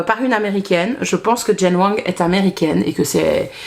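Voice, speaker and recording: A woman with a Belgian accent speaks with ordinary pitch variation over noticeable background noise. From Belgium. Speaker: book vlogger. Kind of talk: casual vlog chat. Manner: hesitant, many fillers.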